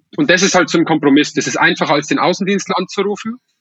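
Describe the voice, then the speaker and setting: A man is speaking. His pace is very fast. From Upper Palatinate, Bavaria (Weiden). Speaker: startup founder, engineer. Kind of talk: podcast interview. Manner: frequent hesitations and repetitions.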